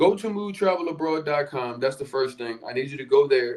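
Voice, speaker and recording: A man speaks with a Philadelphia accent. His intonation is lively. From US Northeast, Philadelphia. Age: 30s. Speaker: podcast host, relocation coach. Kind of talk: live stream sales pitch. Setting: livestream. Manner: casual, with fillers.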